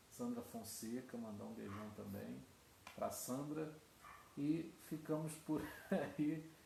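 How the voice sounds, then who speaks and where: Soft-spoken and somewhat breathy, a man with a fairly high pitch talks at a very slow pace with long, frequent pauses amid audible room echo. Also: ordinary pitch variation. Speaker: pastor. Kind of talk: sermon. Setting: online livestream. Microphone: too quiet, basic equipment.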